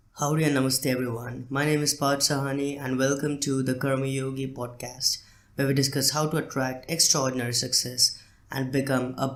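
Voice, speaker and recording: A man talks at a fairly quick pace with medium pitch. His intonation is monotone and flat. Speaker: podcast host. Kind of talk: solo podcast talk. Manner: hesitant, many fillers.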